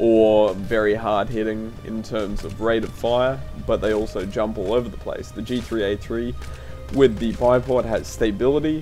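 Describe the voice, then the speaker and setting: Music plays in the background. A man talks with a fairly low pitch. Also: ordinary pitch variation, moderate pace. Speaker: gaming video creator. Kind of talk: game tutorial narration.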